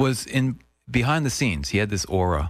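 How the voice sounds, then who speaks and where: Lively intonation marks this man's moderate-paced speech. The sound is dry with no echo, and the background is quiet. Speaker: radio host interviewer. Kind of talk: interview questions. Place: studio.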